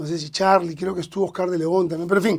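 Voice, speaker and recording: A man's high-pitched voice. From Peru, Lima (San Miguel, Callao area). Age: 60s. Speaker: singer-songwriter and music producer. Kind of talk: podcast interview, casual storytelling. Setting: studio.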